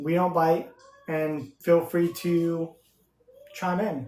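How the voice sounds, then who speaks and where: A man talks loudly and very slowly in a high pitch. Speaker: podcast co-host. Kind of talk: casual chat. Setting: live stream.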